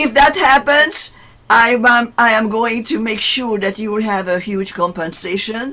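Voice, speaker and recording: Noticeable background noise is present. A woman speaks at a fairly slow pace, fairly high in pitch with ordinary pitch variation. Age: 80s+. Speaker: author. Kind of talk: casual chat. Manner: halting.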